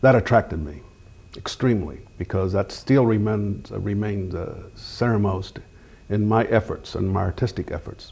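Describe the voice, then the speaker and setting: A man with an American accent speaks at a fairly low pitch and a moderate pace. His voice is somewhat breathy, with ordinary pitch variation. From Kansas City. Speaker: artist and interviewer. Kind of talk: interview. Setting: home. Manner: halting.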